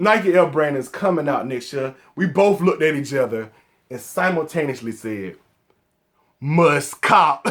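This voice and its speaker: A man with a Southern accent speaks at a moderate pace in a fairly high voice, his tone animated and his intonation lively, on a very clean recording with a silent background. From US South, Atlanta, Georgia. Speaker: sneaker collector YouTuber. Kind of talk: casual vlog talk to camera.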